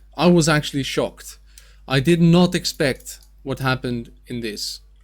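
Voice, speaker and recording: Recorded very cleanly against a silent background, the speaker talks at a moderate pace with ordinary pitch variation and a Dutch accent. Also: man, fairly high pitch for a man. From Netherlands. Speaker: gaming youtuber and streamer. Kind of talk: gameplay commentary. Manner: casual with filler words.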